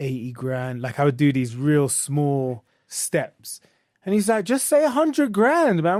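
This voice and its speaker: With a London accent, a man talks at a fairly slow pace. His pitch swings very widely. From England, South London. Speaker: realtor. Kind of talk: interview.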